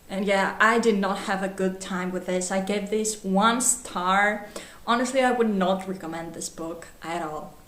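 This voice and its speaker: Speaking fairly slowly at a medium pitch, a woman is heard over noticeable background noise with audible room echo. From Greece. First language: Greek. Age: 20s. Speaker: book vlogger. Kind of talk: casual book review vlog. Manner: animated.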